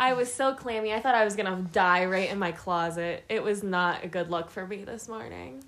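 A woman talks in a plain, everyday voice at a medium pitch with ordinary pitch variation. She keeps a moderate pace with hardly any pauses. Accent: American. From Pittsburgh, Pennsylvania. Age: 20s. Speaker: podcast co-host. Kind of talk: casual chat.

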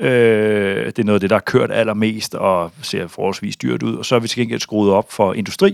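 A man speaks at a fairly low pitch. The sound is dry and close with no echo, in a very clean recording with a silent background. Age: 40s. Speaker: bank chief strategist. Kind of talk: interview. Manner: hesitant, many fillers.

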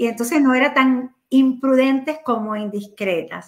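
Her voice is high, and the woman speaks at a moderate pace. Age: 50s. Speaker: entrepreneur. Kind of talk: casual chat.

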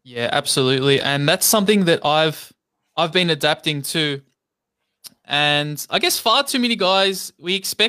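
A man's fairly high voice, bright and sharp in tone, at a moderate pace with ordinary pitch variation, recorded very cleanly over a silent background. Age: 30s. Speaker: podcast host. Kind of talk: casual interview. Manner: halting.

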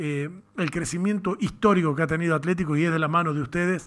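A man speaks with a high-pitched voice. His pace is moderate. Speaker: radio sports host. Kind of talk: radio interview.

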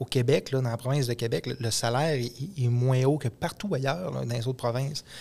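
An unremarkable speaking voice from a man, medium in pitch, with fairly even intonation. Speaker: podcast co-host, mechanic. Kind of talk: casual chat.

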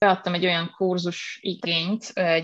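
The voice is monotone and flat in intonation, at a moderate pace, with a dry, close sound and no echo. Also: woman. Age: young. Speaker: university lecturer and researcher. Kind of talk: interview.

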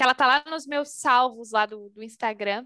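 A woman talks at a fairly slow pace with fairly even intonation and a bright, sharp tone. The recording is very clean, with a silent background. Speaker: HR and talent manager. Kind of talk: casual interview.

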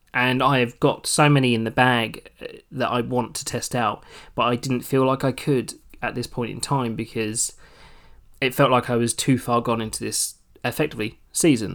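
Speaking at a moderate pace in a British accent, this man has a medium pitch and a monotone, flat intonation on a very clean recording with a silent background. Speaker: solo podcast host. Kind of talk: casual solo monologue. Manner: chatty, rambling with frequent laughs.

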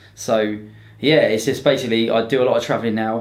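With a southern English accent, a man speaks at medium pitch and a fairly quick pace in a monotone, flat intonation, with audible room echo. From southern England, Romsey near Southampton. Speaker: Brazilian jiu-jitsu competitor and instructor. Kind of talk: casual chat. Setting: studio with cameras.

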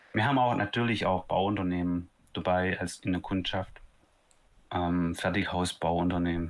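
A man with a very deep, low pitch talks at a moderate pace with fairly even intonation and long, frequent pauses. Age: 30s. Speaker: startup founder. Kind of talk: casual interview.

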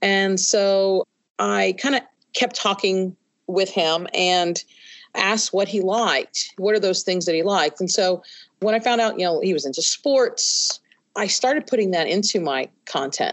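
A woman with an American accent speaks at a fairly slow pace in an unremarkable speaking voice. Her pitch is medium, with ordinary variation. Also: very even loudness. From New York City. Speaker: high school Spanish teacher. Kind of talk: interview.

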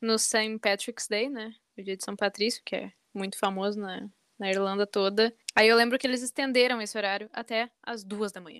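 In an ordinary speaking voice, a woman talks at a fairly high pitch with fairly even intonation and big swings in loudness, the sound dry and close with no echo in a very clean recording with a silent background. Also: moderate pace. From southern Brazil, Rio Grande do Sul. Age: 20s. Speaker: journalism student. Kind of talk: casual chat.

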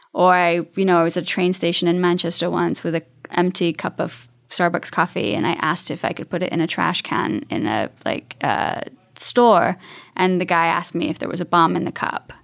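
A woman speaks at a fairly quick pace in a fairly low pitch with vocal fry over a quiet background. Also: ordinary pitch variation. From England. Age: 30s. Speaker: nonprofit founder and domestic violence advocate. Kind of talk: interview.

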